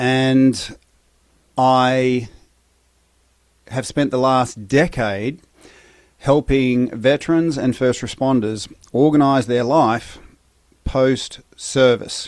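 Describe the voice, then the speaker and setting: With an Australian accent, the speaker talks at a very slow pace in a fairly even intonation, leaving long, frequent pauses. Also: man. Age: 50s. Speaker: breathwork and recovery coach, former soldier. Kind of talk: podcast interview.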